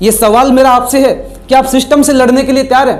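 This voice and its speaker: A man talks at an extremely high pitch while noticeable noise sits in the background. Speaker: motivational speaker, trainer and life coach. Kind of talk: motivational talk to camera.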